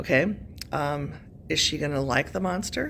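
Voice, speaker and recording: A woman with a very deep, low voice uses lively intonation and vocal fry, and the room echo is audible. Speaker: high school English teacher. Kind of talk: recorded lesson. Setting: classroom. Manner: casual, many fillers.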